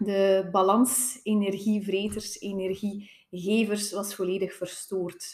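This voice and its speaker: A woman's medium-pitched voice, very slow in pace, with fairly even intonation. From Belgium, West Flanders (Tielt). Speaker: physiotherapist. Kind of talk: interview testimony. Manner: halting, many fillers.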